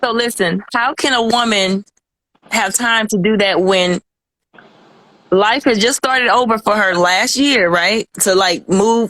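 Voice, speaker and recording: A woman speaks at a fairly slow pace with a fairly high pitch, ordinary pitch variation, very even loudness and long, frequent pauses, in a dry, close sound with no echo. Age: 30s. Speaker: guest describing a past relationship. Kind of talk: casual chat.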